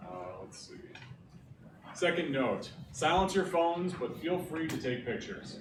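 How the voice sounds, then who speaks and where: With noticeable background noise behind him, a man with a high pitch talks at a moderate pace, leaving long, frequent pauses, his loudness swinging widely and his pitch varying in an ordinary way. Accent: American. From Scranton, northeastern Pennsylvania. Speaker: graphic designer and pixel artist. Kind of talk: presentation. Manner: casual, filler-heavy (uh, like).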